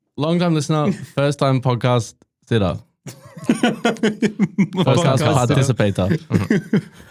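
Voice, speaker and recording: A man's fairly high voice with vocal fry, very wide pitch swings and a very slow pace. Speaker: quiz company operations manager. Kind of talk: podcast guest banter.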